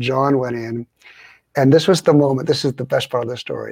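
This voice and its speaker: Dry and close with no echo, a man's medium-pitched voice carries ordinary pitch variation. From Southern California, US. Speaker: pastor and leadership author. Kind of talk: interview.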